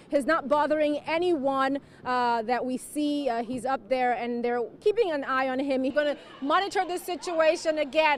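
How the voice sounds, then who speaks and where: With an American accent, a woman speaks at a high pitch and a moderate pace. Her pitch variation is ordinary, and background noise is noticeable. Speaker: TV news anchor and field reporter. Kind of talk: live field reporting, stand-up. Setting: outdoors on location.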